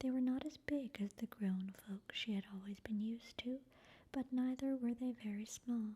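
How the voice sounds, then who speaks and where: Soft-spoken and calm, gentle delivery at a moderate pace. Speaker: ASMR channel reader. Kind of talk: soft-spoken ASMR book reading. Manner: soft-spoken, calm, gentle.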